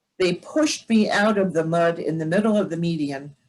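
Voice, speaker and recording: A woman with an American accent speaks in a fairly low voice. Her intonation is lively and her tone somewhat breathy. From New Jersey, Dover. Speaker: retired state trooper. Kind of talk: talk with slides. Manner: fast; hesitant, many fillers.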